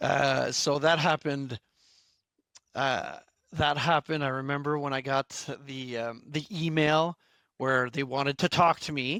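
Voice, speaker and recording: A man with a Quebec accent speaks fairly slowly in a fairly high, bright, sharp voice with fairly even intonation and long, frequent pauses. The recording is very clean with a silent background and a dry, close sound with no echo. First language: French. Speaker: instructional designer, former fitness instructor. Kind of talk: interview. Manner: halting, many fillers and restarts.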